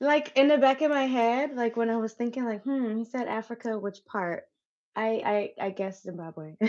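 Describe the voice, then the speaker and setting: At a moderate pace, a woman talks in a fairly high voice with ordinary pitch variation. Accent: American. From Wisconsin, US Midwest. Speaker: dancer and coach. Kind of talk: casual chat.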